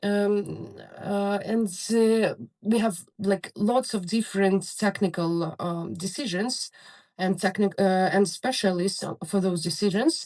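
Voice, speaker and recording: A woman with a Ukrainian accent talks at a very slow pace, her medium pitch showing ordinary variation. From Ukraine. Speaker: soldier, drone pilot. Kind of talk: interview. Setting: bunker on the front lines, remote call. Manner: halting, many fillers.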